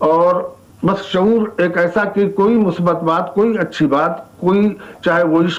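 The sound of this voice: The pace is slow. The intonation stays fairly even. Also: man.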